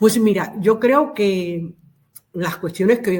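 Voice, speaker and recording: Using a normal speaking voice, a woman talks at a fairly slow pace and a medium pitch with lively intonation. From Cuba. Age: 60s. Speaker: activist. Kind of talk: interview.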